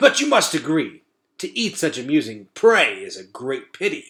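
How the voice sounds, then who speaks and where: A man puts on a character voice, pitched high for a man. He talks at a moderate pace. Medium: read story. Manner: archaic, sly banter.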